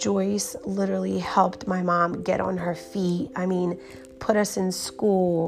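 A woman with a Romanian accent speaks at a fairly slow pace, with noticeable background noise and audible room echo. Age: 30s. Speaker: hair salon owner. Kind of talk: personal storytelling monologue. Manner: casual, many filler words.

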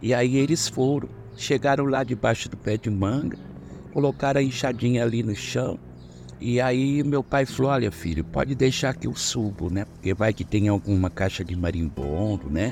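Moderate pace and lively intonation from a man at a medium pitch, over noticeable background noise. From interior of São Paulo state, Brazil. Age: 60s. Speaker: listener telling a story. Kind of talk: voice message testimony. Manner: casual, conversational.

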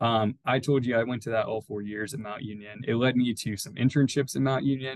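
A man with an American accent and a normal speaking voice, medium pitch, fairly even intonation, a fairly quick pace and hardly any pauses. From US Midwest, Youngstown, Ohio. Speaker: sports ticket sales manager. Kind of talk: casual interview.

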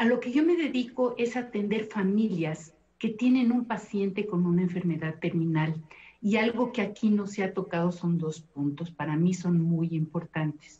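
Somewhat breathy, this woman's voice has a dark, mellow tone. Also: medium pitch for a woman, lively intonation, moderate pace. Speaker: thanatologist and family counselor. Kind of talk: televised panel discussion. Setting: video call.

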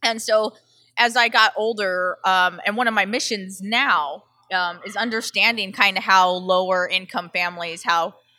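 This voice has a bright, sharp tone and fairly even intonation, speaking at a moderate pace with an American accent on a very clean recording over a silent background. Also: woman. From Southern California. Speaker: chef and food delivery entrepreneur. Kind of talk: casual interview chat. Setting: in-person at a brewery.

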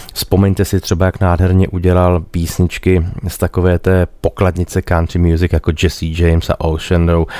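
A man's very deep, low voice with a Czech accent, flat monotone intonation and a fairly quick pace. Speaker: radio host and musician. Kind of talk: radio DJ patter introducing songs. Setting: radio studio. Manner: warm, chatty, relaxed.

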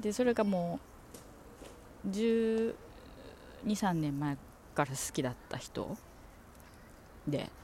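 In a relaxed tone, a woman with a medium-pitched, dark, mellow voice speaks at a very slow pace, with long, frequent pauses, big swings in loudness and very wide pitch swings. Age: 40s. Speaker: podcaster. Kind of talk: casual chat. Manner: rambling, relaxed.

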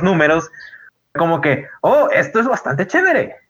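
A man speaks in a normal speaking voice. His intonation is lively and his pace moderate. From Guadalupe, Monterrey area, Mexico. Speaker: podcast co-host. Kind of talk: casual chat. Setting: online voice call.

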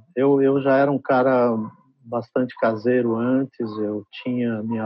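Monotone and flat, a man's medium-pitched voice moves at a very slow pace. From Brazil (São Paulo), born in Trás-os-Montes, Portugal. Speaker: advertising executive. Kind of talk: interview. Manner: halting.

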